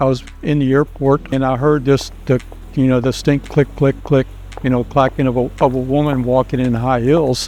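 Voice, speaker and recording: A man speaks at a moderate pace in a medium pitch. His intonation is flat and monotone, with noticeable background noise. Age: 60s. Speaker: fashion model and engineer. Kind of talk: interview. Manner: halting.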